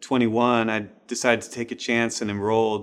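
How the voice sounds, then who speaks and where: Recorded very cleanly against a silent background, a man with an American accent speaks at a moderate pace and medium pitch. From US Pacific Northwest, Seattle. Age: 40s. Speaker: student. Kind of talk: interview testimony.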